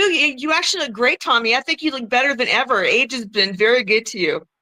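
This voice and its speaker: A woman's high, bright, sharp voice, raised and projected, at a very fast pace with hardly any pauses and very wide pitch swings. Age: 50s. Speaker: former wrestler and adult performer. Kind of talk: casual chat.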